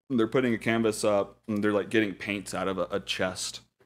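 A man with a fairly low pitch, a fairly quick pace and fairly even intonation.

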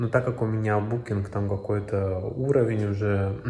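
Very slowly, a man speaks in a fairly low pitch with fairly even intonation. Audible room echo is present. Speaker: travel vlogger. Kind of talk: casual vlog chat. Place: home room. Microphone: phone near.

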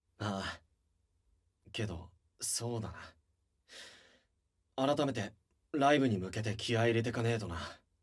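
A gruff, low-pitched put-on character voice at a moderate pace, with long, frequent pauses. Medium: audio drama. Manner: gruff, rough-spoken, blunt.

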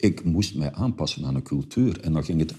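A man's very deep, low-pitched voice with a dark, mellow tone comes across a quiet background. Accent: Flemish. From Flanders. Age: 70s. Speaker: journalist and author. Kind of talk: interview answer. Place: meeting room. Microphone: lapel.

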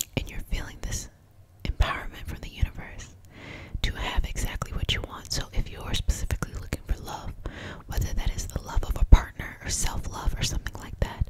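Someone whispers at a fairly quick pace in a calm tone. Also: woman. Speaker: reiki master teacher and healer. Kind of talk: guided reiki healing session. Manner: soft-spoken, calm, encouraging. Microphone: studio mic.

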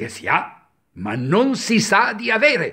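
With vocal fry and a bright, sharp tone, a man speaks at a very slow pace with very wide pitch swings over a quiet background. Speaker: dubbing teacher, voice actor. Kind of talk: instructional lesson on diction, ironic tone. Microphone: webcam.

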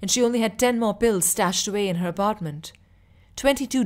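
The clip has an unforced reading voice. Its pitch shows ordinary variation.

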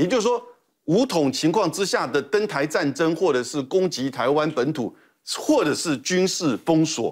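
A man speaks at a high pitch with very wide pitch swings. His pace is fairly slow against a quiet background. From Taiwan. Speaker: former national security official; guest commentator. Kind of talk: TV panel discussion. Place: studio. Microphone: lapel.

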